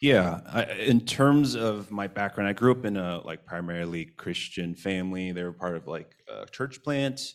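In an ordinary speaking voice, a man with a fairly low pitch talks at a moderate pace with hardly any pauses and big swings in loudness. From US, child of Taiwanese immigrants. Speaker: worship leader. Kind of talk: interview. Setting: church.

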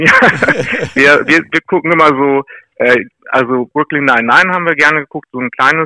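The voice has a bright, sharp tone and fairly even intonation at a moderate pace, with a dry, close sound and no echo. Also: man. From Lower Saxony, Weser area near Rinteln. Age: 40s. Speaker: mayoral candidate. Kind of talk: interview.

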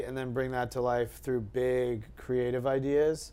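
A man with an American accent speaks at a medium pitch in a monotone, flat delivery. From US, suburbs of DC in Virginia. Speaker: agency CEO. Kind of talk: interview. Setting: office.

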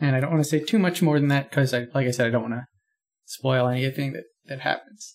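With an American accent, a man uses a normal speaking voice at a medium pitch and a fairly quick pace. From rural Pennsylvania. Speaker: podcast guest. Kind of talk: casual chat.

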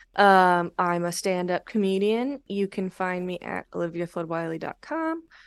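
Heard in a dry, close sound with no echo, the speaker has a Californian accent. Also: woman. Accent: Californian American English. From Los Angeles, San Fernando Valley. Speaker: stand-up comedian. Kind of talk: casual chat. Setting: video call.

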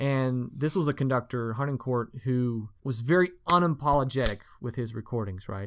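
Ordinary pitch variation, a normal speaking voice, with an American accent. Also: man. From US South, Asheville, North Carolina. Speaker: orchestra conductor. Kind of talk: casual interview. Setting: studio.

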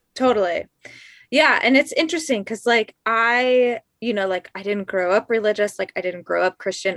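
A woman with a General American accent talks at a moderate pace in a plain, everyday voice, her intonation lively. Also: very clean recording, silent background. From Colorado Springs, Colorado. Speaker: podcast producer. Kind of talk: casual interview chat.

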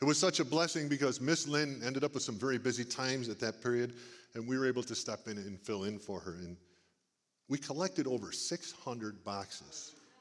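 A man talks at a fairly quick pace in a medium pitch with lively intonation. He has an ordinary speaking voice. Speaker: church service speaker. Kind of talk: warm, conversational preaching. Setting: church service, stage.

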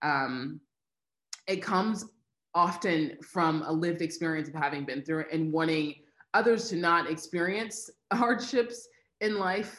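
Speaking with an American accent, a woman has a fairly low pitch and lively intonation. She moves at a fairly slow pace, with long, frequent pauses. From US Midwest, Missouri. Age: 20s. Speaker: nonprofit founder and advocate. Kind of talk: interview conversation.

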